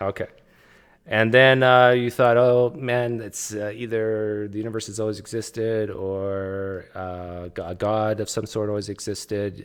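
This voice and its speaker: A normal speaking voice in a Canadian accent, fairly slow and with fairly even intonation, on a very clean recording with a silent background. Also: man, fairly low pitch for a man. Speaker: livestream host, atheist. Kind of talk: casual interview.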